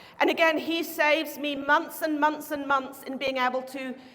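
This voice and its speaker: High-pitched woman at a fairly quick pace, fairly even intonation, audible room echo. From Norway. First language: Norwegian. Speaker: chiropractic researcher. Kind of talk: conference talk. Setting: stage with audience. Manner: fast.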